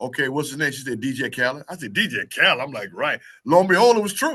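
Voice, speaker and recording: Against a quiet background, a man talks in an animated, bright, sharp tone. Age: 60s. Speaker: radio DJ. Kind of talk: interview.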